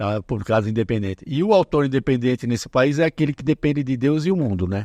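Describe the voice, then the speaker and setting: The sound is dry and close with no echo as a man speaks at a very fast pace. His medium-pitched voice has a dark, mellow tone and lively intonation. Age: 70s. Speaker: author. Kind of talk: casual chat.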